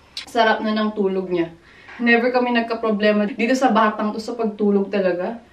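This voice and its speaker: Fairly quick speech from a woman with a fairly high voice, over noticeable background noise. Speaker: vlogger, mother. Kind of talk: casual vlog talk. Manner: animated.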